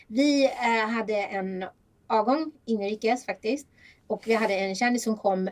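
A woman uses a normal speaking voice, keeping a moderate pace and ordinary pitch variation. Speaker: podcast host. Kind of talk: casual chat.

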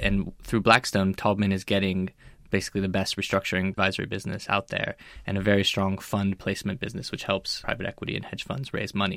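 Over a silent background in a very clean recording, a man talks at a very fast pace in a fairly low pitch with monotone, flat intonation. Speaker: M&A correspondent. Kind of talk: panel discussion. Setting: studio.

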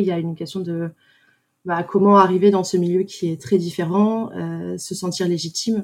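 In a very clean recording with a silent background, a woman with an unremarkable speaking voice talks at medium pitch with fairly even intonation. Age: 20s. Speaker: socially responsible investment analyst. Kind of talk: testimony.

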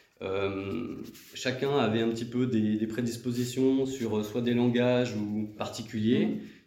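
Amid noticeable background noise and audible room echo, a man at medium pitch talks at a very slow pace with fairly even intonation. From southeastern France, Valence area (Drôme). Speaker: career changer, web development graduate. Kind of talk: interview testimony. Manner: hesitant, with many fillers.

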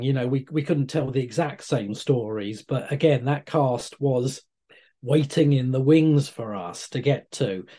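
A man with a British accent speaks at a moderate pace in a medium pitch, his dark, mellow tone somewhat breathy and his pitch varying in an ordinary way. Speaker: comic writer. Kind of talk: interview answers.

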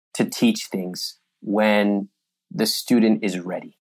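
A man with an American accent and an ordinary speaking voice, medium in pitch with ordinary pitch variation, on a very clean recording with a silent background. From US, Sacramento, California. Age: young. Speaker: personal finance author. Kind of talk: interview conversation.

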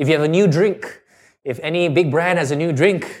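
In an animated tone, a man speaks with ordinary pitch variation in a very clean recording with a silent background. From Singapore, childhood in Canada. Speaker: entrepreneur and former radio DJ. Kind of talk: interview conversation.

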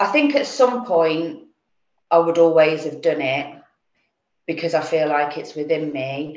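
The speaker has an English accent and a fairly slow pace. Room echo is audible. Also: woman. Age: 40s. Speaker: insurance broker. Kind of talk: interview. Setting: video call.

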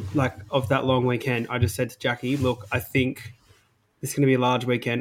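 A man with an Australian accent talks at a fairly quick pace with monotone, flat intonation. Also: big swings in loudness. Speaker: podcast co-host. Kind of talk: casual chat. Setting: recording session.

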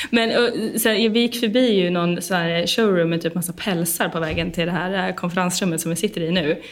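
Talking at a fairly quick pace with hardly any pauses, a woman with fairly low pitch and ordinary pitch variation comes through audible room echo and noticeable background noise. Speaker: podcast host. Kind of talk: casual interview. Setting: conference room.

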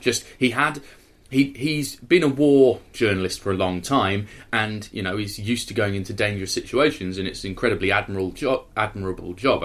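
The recording is very clean, with a silent background. A man with a normal speaking voice talks fairly quickly at a fairly low pitch, with ordinary pitch variation. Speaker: film podcast host. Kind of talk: casual chat.

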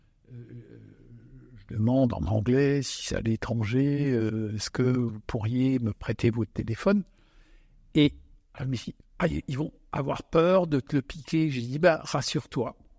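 In a dry, close sound with no echo, a man with a dark, mellow tone and medium pitch talks at a very slow pace with ordinary pitch variation. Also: long, frequent pauses. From Alsace. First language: Alsatian (speaking French). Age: 60s. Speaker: winemaker. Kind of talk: casual chat. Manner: halting.

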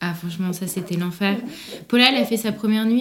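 A woman uses a normal speaking voice at a medium pitch with ordinary pitch variation. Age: 20s. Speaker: prenatal yoga business founder. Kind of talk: personal testimony in casual interview.

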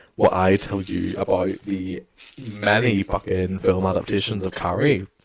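A man's ordinary speaking voice, fairly low in pitch, at a moderate pace. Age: young. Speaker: podcast co-host. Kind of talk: casual chat.

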